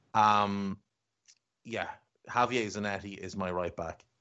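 A man speaks with an Irish accent and a fairly low pitch. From Ireland. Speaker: football podcast host. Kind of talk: casual chat.

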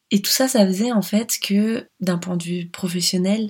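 A woman talks fairly slowly in a somewhat breathy voice. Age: 30s. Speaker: life coach and podcast host. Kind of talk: solo podcast monologue, personal story.

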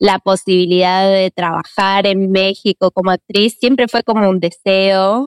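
A woman with a normal speaking voice talks fairly slowly at a medium pitch, keeping her intonation fairly even. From Argentina (Buenos Aires). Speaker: actress and acting teacher. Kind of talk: interview conversation.

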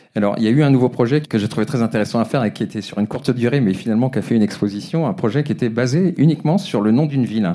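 A man's dark, mellow voice at medium pitch, very fast pace, lively intonation and very even loudness. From Brittany, France. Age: 50s. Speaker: photographer. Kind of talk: interview. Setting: live recording with audience. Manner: halting.

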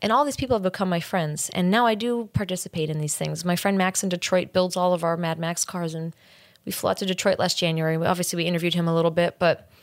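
In an American accent, the speaker talks at a very fast pace with ordinary pitch variation, in a very clean recording with a silent background. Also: woman, fairly low pitch for a woman. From New York. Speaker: documentary director. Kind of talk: interview.

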